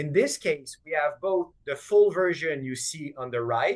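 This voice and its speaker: A man's fairly high-pitched voice. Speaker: energy management product advisor presenting. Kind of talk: webinar presentation. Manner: fast.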